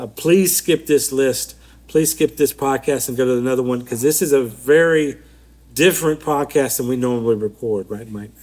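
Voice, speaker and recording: A man mumbles at a medium pitch. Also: ordinary pitch variation, moderate pace. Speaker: podcast co-host. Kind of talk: casual chat. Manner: mumbling.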